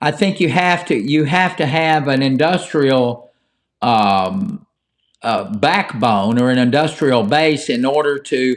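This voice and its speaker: A man with an Appalachian accent speaks at a very slow pace and a fairly high pitch. His intonation is lively, while his loudness stays very even. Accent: Appalachian American. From Appalachia (Ohio-born hillbilly). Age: old. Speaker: call-in show host. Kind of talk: live call-in talk show. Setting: live stream. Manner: casual, halting.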